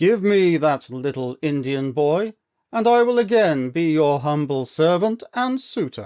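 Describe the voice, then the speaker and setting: A man's put-on character voice, fairly high in pitch and fairly slow, over a very clean recording with a silent background. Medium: read story. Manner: imperious.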